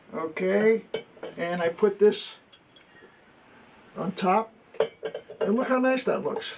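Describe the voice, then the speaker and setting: A man speaking at a very slow pace with long, frequent pauses over noticeable background noise. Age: 80s+. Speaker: military veteran and antiques restorer. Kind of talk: workshop tour. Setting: home basement workshop.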